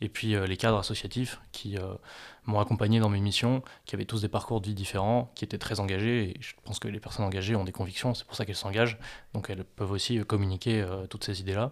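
At a very fast pace, a man speaks in a monotone at a fairly low pitch, recorded very cleanly against a silent background. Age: 20s. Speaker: aspiring gendarme, former student entrepreneur. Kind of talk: interview. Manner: halting, many repetitions and fillers.

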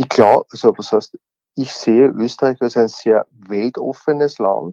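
At a fairly slow pace, a man speaks at a medium pitch with a dark, mellow tone in a dry, close sound with no echo. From Austria (Upper Austria). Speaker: former politician. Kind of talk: interview.

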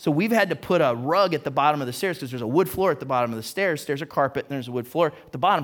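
This is an ordinary speaking voice with lively intonation. The recording is very clean, with a silent background. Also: man. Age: 40s. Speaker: pastor. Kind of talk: sermon. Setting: church.

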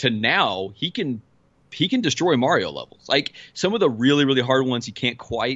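Lively intonation marks a man's medium-pitched voice as he talks at a moderate pace. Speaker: podcast host. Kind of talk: casual chat.

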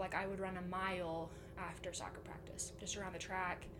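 With noticeable background noise and audible room echo, a woman at a medium pitch talks at a fairly quick pace. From Utah. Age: 20s. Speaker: guest sharing eating disorder story. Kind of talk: personal testimony.

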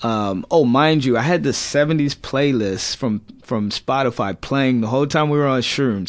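Talking at a moderate pace, a man with an American accent and an ordinary speaking voice keeps a medium pitch with ordinary pitch variation. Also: quiet background. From California. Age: 20s. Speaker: Iraq war veteran. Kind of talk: casual interview.

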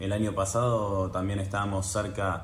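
A man with a very deep, low pitch speaks in a somewhat breathy voice amid audible room echo. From Argentina, Buenos Aires. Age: 20s. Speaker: professional tennis player. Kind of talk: casual interview.

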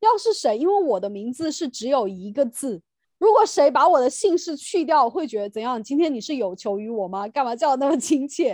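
A woman talks at a fairly quick pace with hardly any pauses. Her high pitch makes very wide swings. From mainland China. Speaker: podcast host, teacher. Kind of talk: casual chat.

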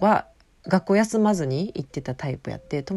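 A dark, mellow tone in a Kansai accent with very wide pitch swings. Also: woman. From Osaka, Japan. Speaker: podcast host. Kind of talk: solo monologue podcast. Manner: casual, meandering.

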